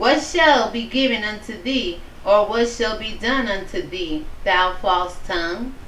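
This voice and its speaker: A woman speaking at a very slow pace, with audible room echo and light background noise. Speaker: online bible study host. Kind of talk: scripture reading with commentary. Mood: earnest, preachy. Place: home room. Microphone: webcam.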